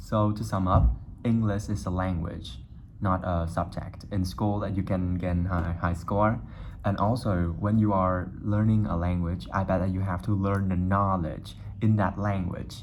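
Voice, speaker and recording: Fairly slow speech with a Vietnamese accent and ordinary pitch variation, with audible room echo. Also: man, very deep, low pitch for a man. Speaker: YouTuber. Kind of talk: casual monologue to camera.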